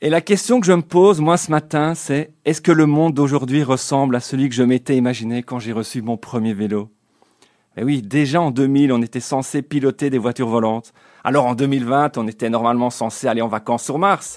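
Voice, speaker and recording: A man with an ordinary speaking voice talks at a fairly quick pace, his medium pitch showing ordinary variation. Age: 40s. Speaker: radio columnist. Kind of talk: comic radio column.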